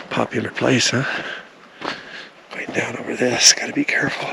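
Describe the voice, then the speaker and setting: Against noticeable background noise, a man speaks quietly. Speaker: RV travel vlogger. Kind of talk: hiking vlog narration. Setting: outdoors on a hiking trail. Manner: casual, conversational; speaking quietly.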